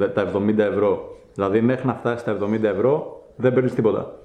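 A man speaks in an ordinary speaking voice at medium pitch. His intonation stays fairly even. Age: 20s. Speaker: YouTuber and trial bike rider. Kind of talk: casual interview.

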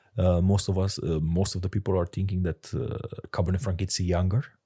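On a very clean recording with a silent background, a man with a Romanian accent speaks in a very deep, low voice that is somewhat breathy and dark, mellow in tone. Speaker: sommelier. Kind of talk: interview. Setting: studio. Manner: halting.

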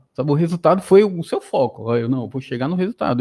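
A man speaks at a fairly high pitch in a dark, mellow tone, with lively intonation. The sound is dry and close with no echo, and the background is quiet. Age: 30s. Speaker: mechatronics engineer and gamification researcher. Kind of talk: casual interview chat. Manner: halting, many repetitions and fillers.

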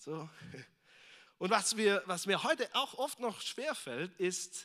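Very wide pitch swings mark a man's bright, sharp voice at a fairly slow pace. The recording is very clean, with a silent background. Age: 30s. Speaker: visiting preacher. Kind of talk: sermon. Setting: church service with congregation. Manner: casual, with frequent fillers.

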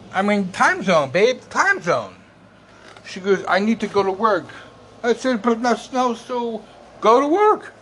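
Amid noticeable background noise, a man with high pitch and lively intonation speaks at a fairly slow pace, with long, frequent pauses. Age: 50s. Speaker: podcaster and Facebook group founder. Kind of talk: casual monologue podcast. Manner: halting.

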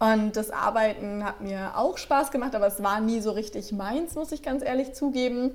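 With noticeable noise behind her, a woman talks at a moderate pace with hardly any pauses, her fairly high pitch varying in an ordinary way. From Franconia, Germany (Nuremberg). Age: 20s. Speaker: life and stress coach. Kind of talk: podcast interview.

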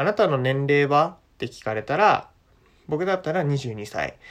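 A relaxed man's voice, fairly high in pitch, with very wide pitch swings. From Japan. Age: 20s. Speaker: podcast host, university student. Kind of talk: casual monologue for language learners. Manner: relaxed, many fillers.

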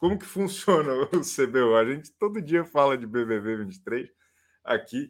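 A man with a fairly high voice speaks at a very slow pace with lively intonation. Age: 30s. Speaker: live-stream host. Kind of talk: casual live show chat.

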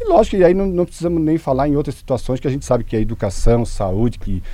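The voice has a dark, mellow tone and lively intonation. The pace is very fast. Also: man. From Santa Catarina, Brazil (Rio do Sul area). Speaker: local party president. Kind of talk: radio interview. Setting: radio studio. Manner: halting.

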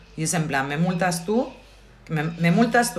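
Heard with audible room echo, a woman with a fairly low pitch speaks at a fairly slow pace, her intonation lively. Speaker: podcast co-host. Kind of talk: casual chat.

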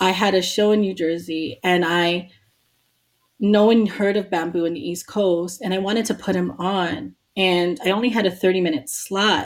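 An ordinary speaking voice: a woman at a medium pitch, moderate pace and ordinary pitch variation. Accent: American. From New York City, Queens. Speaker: hip hop DJ and activist. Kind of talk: casual interview.

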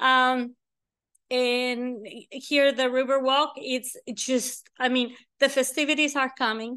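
A woman's high, bright, sharp voice, raised and projected, in a monotone with flat intonation, at a very slow pace against a quiet background. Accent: Mexican. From Mexico. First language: Spanish. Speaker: real estate agent. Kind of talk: casual interview. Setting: on location in a high-rise condo, filmed.

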